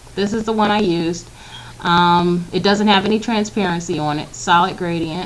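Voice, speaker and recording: A woman talks at a moderate pace with a medium pitch. She has a plain, everyday voice and fairly even intonation. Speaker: graphic design tutorial maker. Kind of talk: screen-recorded software tutorial. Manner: casual with fillers.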